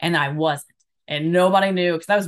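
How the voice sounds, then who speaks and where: Against a quiet background, a woman speaks with an American accent. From Alabama, US South. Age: 30s. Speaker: personal coach and stand-up comedian. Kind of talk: casual interview chat. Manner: talkative.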